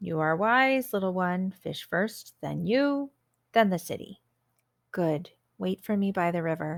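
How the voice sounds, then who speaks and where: A put-on character voice at a middle pitch and a fairly slow pace. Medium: read story. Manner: menacing, greedy.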